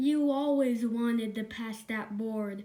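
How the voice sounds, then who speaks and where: A woman takes on a put-on character voice, pitched fairly high and paced fairly slowly. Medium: read story. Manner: cross.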